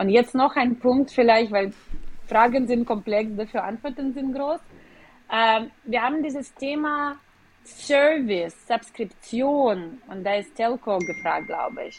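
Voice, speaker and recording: A woman at a high pitch and very slow pace, with long, frequent pauses, big swings in loudness and ordinary pitch variation. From Ukraine, Kyiv. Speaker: business executive. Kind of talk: interview. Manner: hesitant with fillers.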